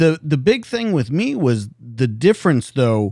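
An unremarkable speaking voice talks at moderate speed on a very clean recording with a silent background. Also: man. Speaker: podcast host, police detective and army veteran. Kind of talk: interview. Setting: studio.

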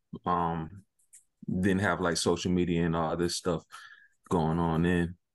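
With a quiet background, a man with a South Carolina accent speaks at a fairly slow pace in a very deep, low pitch. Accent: US Southern (South Carolina). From South Carolina (Sumter). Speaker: basketball tournament organizer. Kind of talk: interview. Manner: halting, many fillers.

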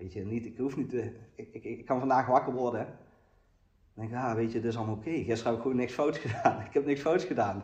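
A man talks at a very fast pace and medium pitch. His voice is somewhat breathy, with ordinary pitch variation. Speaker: recovering addict sharing at a meeting. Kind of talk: recovery meeting testimony. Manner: halting, many repetitions and fillers.

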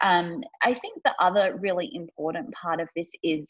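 At a moderate pace, a woman with a fairly low pitch speaks in a plain, everyday voice. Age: 30s. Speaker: life coach and HR manager. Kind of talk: casual interview.

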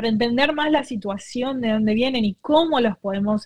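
A woman talks at a moderate pace with ordinary pitch variation. Her voice is somewhat breathy. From Argentina. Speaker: nonprofit co-founder. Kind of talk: interview. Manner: halting.

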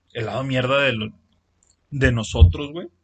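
A man with a Mexican accent speaks at medium pitch. He is somewhat breathy and goes at a fairly slow pace. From Mexico. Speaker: podcast co-host. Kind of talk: casual chat. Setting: improvised home studio.

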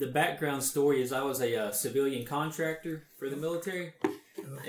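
Noticeable background noise accompanies a man talking at a moderate pace and medium pitch. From Alabama. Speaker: podcast interviewer. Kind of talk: interview.

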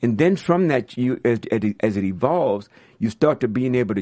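An unremarkable speaking voice belongs to a man who talks at a moderate pace in a medium pitch with lively intonation. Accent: American. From US South, New Orleans. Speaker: music industry executive. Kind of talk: interview. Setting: studio.

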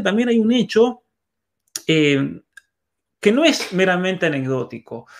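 Very wide pitch swings in a high male voice. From Argentina, San Juan. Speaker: author and cultural commentator. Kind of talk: conversational interview.

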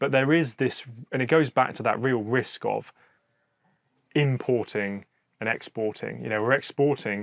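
Speaking with a southern English accent, a man shows ordinary pitch variation. The background is quiet. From Hampshire, southern England. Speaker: podcast host. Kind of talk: interview. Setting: outdoors.

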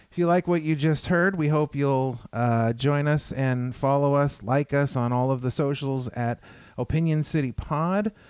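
A man's normal speaking voice, fairly high in pitch, with ordinary pitch variation, very even loudness and a moderate pace. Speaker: podcast host. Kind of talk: casual interview. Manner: frequent filler words.

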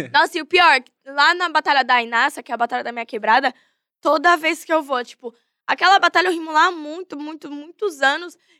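Raised and projected, a woman's high voice comes fairly quickly with ordinary pitch variation and big swings in loudness, dry and close with no echo on a very clean recording with a silent background. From São Paulo, Zona Norte. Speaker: battle rapper (MC). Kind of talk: podcast interview. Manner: animated.

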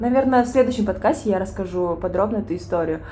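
In a plain, everyday voice, a woman talks with ordinary pitch variation at a fairly high pitch. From Kyrgyzstan. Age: 20s. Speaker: podcast co-host. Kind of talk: casual chat.

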